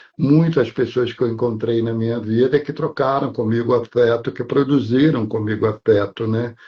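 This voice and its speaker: Male speech, somewhat breathy, with ordinary pitch variation. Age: 70s. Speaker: actor. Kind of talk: interview.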